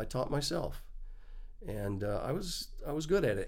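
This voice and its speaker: With audible room echo around him, a man speaks at a moderate pace in an American accent. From Texas, small town. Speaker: Steadicam operator. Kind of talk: casual interview. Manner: halting, many fillers.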